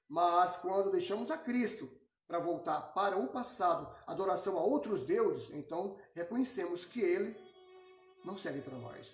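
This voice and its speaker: With music playing in the background, the speech moves at a moderate pace. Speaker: Bible teacher. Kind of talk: Bible study lecture.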